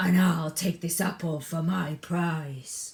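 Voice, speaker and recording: A put-on character voice at a middle pitch and a fairly slow pace. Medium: read story.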